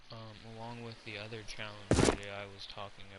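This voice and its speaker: Quiet and flat in intonation, a man with fairly low pitch speaks amid noticeable background noise and audible room echo. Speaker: gaming streamer. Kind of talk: live stream commentary.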